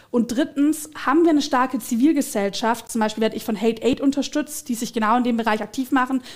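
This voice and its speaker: A woman speaks at a very fast pace with hardly any pauses. Her pitch is high with ordinary variation, over a quiet background. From Swabia, southern Germany. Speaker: politician. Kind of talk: political interview. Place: studio. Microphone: headset.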